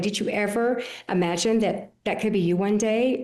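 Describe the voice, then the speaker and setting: A woman at a medium pitch, with audible room echo. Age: 60s. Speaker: podcast host. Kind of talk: casual interview.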